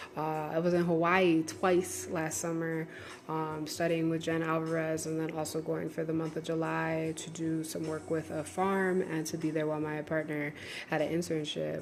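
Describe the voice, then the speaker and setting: A woman's very deep, low voice comes through monotone and flat, with audible room echo. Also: moderate pace. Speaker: online course creator and spiritual teacher. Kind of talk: live stream talk.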